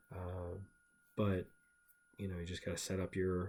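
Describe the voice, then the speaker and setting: A man mumbles in a very deep, low pitch. His voice is somewhat breathy. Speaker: stock trader. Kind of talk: tutorial. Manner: mumbling; casual, halting.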